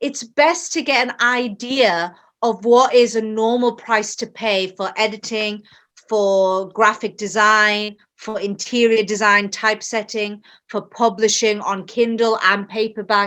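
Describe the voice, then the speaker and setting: A woman with a British accent speaks at a fairly slow pace and a fairly high pitch, in a bright, sharp tone. Her intonation is fairly even, on a very clean recording with a silent background. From England. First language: Bengali. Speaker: author. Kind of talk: interview.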